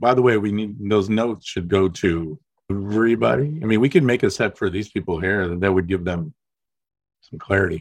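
An ordinary speaking voice from a man, fairly low in pitch, at a fairly quick pace with ordinary pitch variation. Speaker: insurance defense lawyer. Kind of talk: group discussion. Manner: playful, does impressions.

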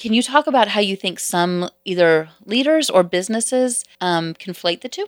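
A woman speaks at a moderate pace and medium pitch with hardly any pauses and lively intonation, in a plain, everyday voice. The recording is very clean and dry, close with no echo and a silent background. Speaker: co-host. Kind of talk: casual interview conversation.

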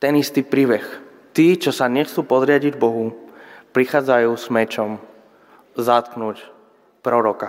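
With a Spanish accent, a man speaks at a fairly slow pace and medium pitch, his intonation fairly even. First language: Spanish (speaking Slovak). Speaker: pastor. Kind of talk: sermon. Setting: church.

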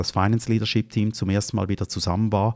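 Monotone and flat, a man's fairly low voice comes through dry and close with no echo. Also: very clean recording, silent background. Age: 50s. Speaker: finance executive. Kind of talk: interview.

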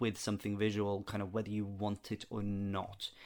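Speaking at a moderate pace, a man talks with a Norwegian accent. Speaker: theater director and audio drama producer. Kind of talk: podcast interview. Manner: halting, many fillers.

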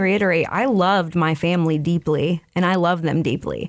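A woman talks at a moderate pace with a fairly low pitch. The recording is very clean, with a silent background. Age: 30s. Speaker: person in addiction recovery. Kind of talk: testimony. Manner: halting.

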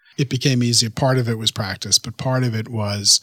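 In a New York accent, a man speaks at a moderate pace and medium pitch, his bright, sharp tone carrying fairly even intonation in a very clean recording with a silent background and a dry, close sound with no echo. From New York City, Queens. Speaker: monk. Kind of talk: interview conversation.

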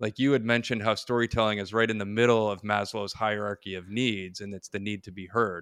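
A man's fairly low voice at a very fast pace, dry and close with no echo, on a very clean recording with a silent background. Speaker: podcast host. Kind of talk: casual interview.

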